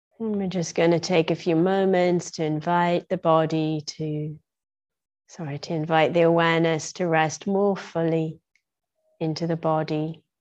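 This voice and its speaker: Music plays behind a woman speaking. Her pitch is fairly low and her intonation monotone and flat. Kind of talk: guided meditation. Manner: slow, calm, soft-spoken.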